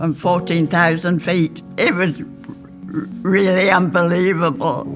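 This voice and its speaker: Someone with an Australian accent talks at a fairly slow pace while music plays in the background. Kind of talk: interview answer.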